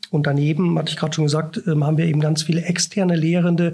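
Over noticeable background noise, a man speaks at a fairly high pitch in a monotone, flat intonation. His pace is very fast. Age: 40s. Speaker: professor. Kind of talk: interview. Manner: hesitant, many filler sounds.

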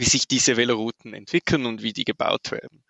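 A man is speaking. He talks with a Swiss German accent. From Switzerland. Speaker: urban mobility planner. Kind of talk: interview.

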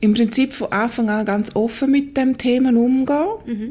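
This somewhat breathy voice has a dark, mellow tone, fairly even intonation and a moderate pace. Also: woman. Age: 40s. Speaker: midwife. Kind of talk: interview, personal testimony.

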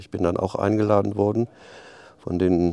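With a slight Rhineland accent, a dark, mellow tone moves at a moderate pace and fairly even intonation. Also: man. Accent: slight Rhineland lilt. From Rhineland, Aachen. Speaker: head of a club promoting leisure. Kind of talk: interview. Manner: halting, many fillers.

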